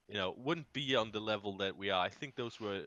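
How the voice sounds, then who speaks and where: With a German accent, a man speaks in a bright, sharp tone, the sound dry and close with no echo. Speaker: video game content creator. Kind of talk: casual chat.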